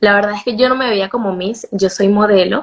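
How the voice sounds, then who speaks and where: Someone with a Venezuelan accent talks at a fairly quick pace with fairly even intonation. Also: woman. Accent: Venezuelan Spanish, retained. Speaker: beauty pageant contestant and model. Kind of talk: interview.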